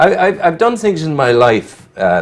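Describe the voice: Very wide pitch swings at a fairly slow pace. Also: man, fairly high pitch for a man.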